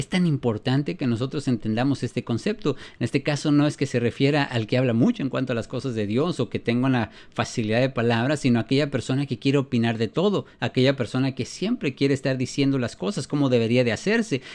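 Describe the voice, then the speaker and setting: A man at medium pitch talks at a very fast pace with hardly any pauses, his pitch varying in an ordinary way over a quiet background. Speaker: preacher. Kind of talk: sermon.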